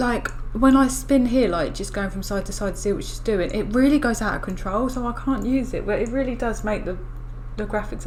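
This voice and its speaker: A woman with an English accent mumbles at a fairly quick pace and fairly high pitch, with audible room echo and noticeable background noise. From England. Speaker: gaming youtuber. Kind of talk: gameplay commentary. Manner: mumbling; hesitant.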